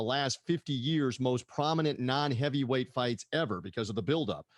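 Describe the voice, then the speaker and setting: The sound is dry and close, with no echo. The speaker has an American accent. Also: man, quiet background. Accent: half Southern American. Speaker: podcast host. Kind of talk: interview. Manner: animated.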